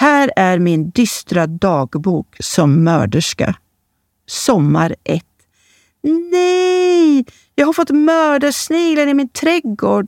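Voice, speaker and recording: A high-pitched woman speaks very slowly, her pitch swinging very widely while her loudness stays very even. The recording is very clean, with a silent background. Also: dry, close sound with no echo. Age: 40s. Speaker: columnist. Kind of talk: reading aloud of own columns.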